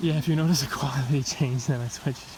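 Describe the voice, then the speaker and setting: The speech races along at a very fast pace over noticeable background noise. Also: man. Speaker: travel vlogger. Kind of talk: casual vlog narration. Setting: outdoors at a zoo in the rain. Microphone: phone camera mic, switched phones.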